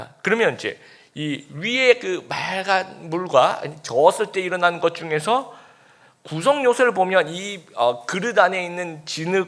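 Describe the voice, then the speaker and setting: Talking at a fairly slow pace, a man with a high voice uses lively intonation and big swings in loudness. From Busan, South Korea. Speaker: pastor. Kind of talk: sermon.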